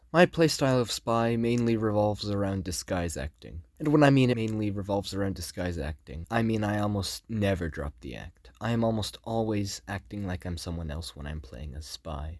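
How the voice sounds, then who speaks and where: A man with an unremarkable speaking voice talks at a fairly quick pace and fairly low pitch, with hardly any pauses. His intonation is lively and his loudness swings widely. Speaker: gaming YouTuber. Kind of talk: scripted narration.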